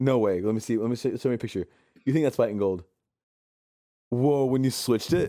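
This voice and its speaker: A man at a medium pitch talks at a very fast pace in an animated tone, with ordinary pitch variation and long, frequent pauses. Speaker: podcast co-host. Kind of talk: casual chat.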